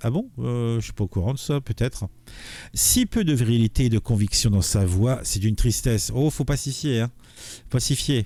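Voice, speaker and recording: A somewhat breathy voice at a moderate pace with ordinary pitch variation, on a very clean recording with a silent background. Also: man, medium pitch for a man. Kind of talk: political commentary. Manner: casual, hesitant.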